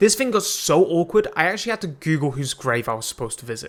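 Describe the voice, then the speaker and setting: An animated man speaks with very wide pitch swings. Noticeable background noise can be heard. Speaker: gaming YouTuber. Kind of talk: gameplay commentary. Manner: loud.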